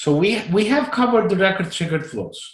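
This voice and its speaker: A man with a non-native accent, pitch swinging very widely, in a room with audible echo. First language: not English. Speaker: Salesforce flow trainer. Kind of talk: live online training session. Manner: halting, repeats words.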